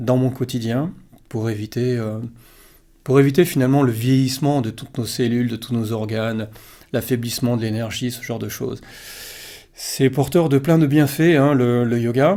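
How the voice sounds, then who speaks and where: Over a very clean recording with a silent background, a man with a dark, mellow tone and medium pitch speaks at a moderate pace with ordinary pitch variation and long, frequent pauses. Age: 60s. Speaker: yoga teacher. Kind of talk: casual talk-to-camera Q&A. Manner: hesitant, many fillers.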